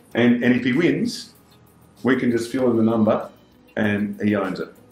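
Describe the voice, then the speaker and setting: Amid audible room echo, a man speaks with ordinary pitch variation. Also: medium pitch for a man, moderate pace. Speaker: real estate agent. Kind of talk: casual running commentary during online auction. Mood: excited, upbeat. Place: meeting room. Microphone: camera far.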